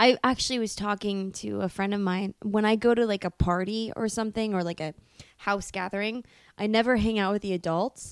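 With an ordinary speaking voice, a woman talks at a fairly quick pace in a medium pitch and fairly even intonation, recorded very cleanly, dry and close, with no echo and a silent background. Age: 20s. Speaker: actress. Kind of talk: casual chat. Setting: home studio in host's bedroom.

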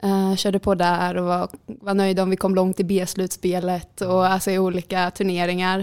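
Monotone, flat intonation at a moderate pace, on a very clean recording with a silent background. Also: woman. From Sweden, Jönköping. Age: 20s. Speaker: handball player. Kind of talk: interview.

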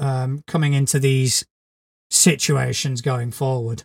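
A man's normal speaking voice, fairly high in pitch, at a fairly slow pace. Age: 40s. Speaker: podcast co-host, game master. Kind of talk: casual chat.

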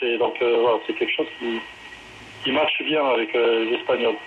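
Clear background noise can be heard. Over it, a man talks in a fairly high voice. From southwest France. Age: 40s. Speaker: rugby coach. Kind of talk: interview.

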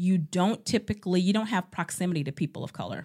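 A woman with an American accent has an ordinary speaking voice at a medium pitch, her intonation lively, in a very clean recording with a silent background. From Ohio, Cleveland. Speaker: nurse and community organizer. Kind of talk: interview conversation.

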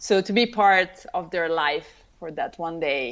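Against a quiet background, a woman with an Italian accent talks at a fairly slow pace, her medium pitch carried by lively intonation. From Italy, Tuscany. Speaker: wedding photographer. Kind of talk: interview.

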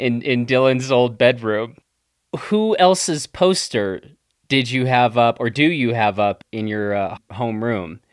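An ordinary speaking voice from a man, medium in pitch, fairly slow, with ordinary pitch variation, on a very clean recording with a silent background. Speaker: podcast host. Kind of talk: interview.

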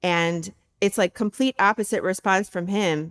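A woman with a normal speaking voice talks at a medium pitch and a fairly slow pace. The recording is very clean, with a silent background. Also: dry, close sound with no echo. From US Midwest, Michigan. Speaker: university faculty member. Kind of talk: personal testimony interview.

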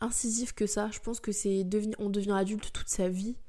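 A woman speaks at a medium pitch and a moderate pace. The recording is very clean and the background silent. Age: 20s. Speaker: podcast host. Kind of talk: casual monologue. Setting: in bed. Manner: hesitant.

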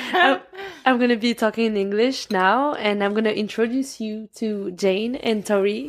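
A woman with a French accent speaks at a moderate pace in a fairly high pitch, her intonation fairly even, over noticeable background noise. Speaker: podcast host. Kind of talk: casual chat.

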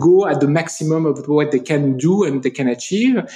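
A man with a French accent, a dark, mellow tone and fairly high pitch, speaking at a fairly quick pace with ordinary pitch variation. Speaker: company CEO. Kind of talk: interview. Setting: in person in Paris. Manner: hesitant, many fillers.

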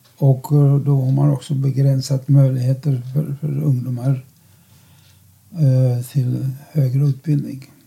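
Long, frequent pauses break up a man's speech at a very slow pace. His medium-pitched voice is somewhat breathy, with a dark, mellow tone and monotone, flat intonation. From Czechoslovakia. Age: 90s. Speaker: Holocaust survivor and lecturer. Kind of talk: interview. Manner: halting.

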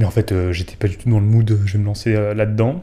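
The man's tone is dark and mellow, and somewhat breathy. His intonation stays fairly even. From southern France. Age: 20s. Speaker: brand communications manager. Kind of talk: casual chat. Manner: hesitant.

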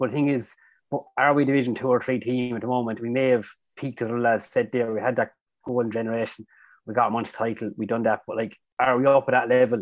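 On a very clean recording with a silent background, someone with an Irish accent speaks at a very fast pace in a monotone, flat intonation. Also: man, medium pitch for a man. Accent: Tipperary Irish. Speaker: hurler. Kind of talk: casual chat.

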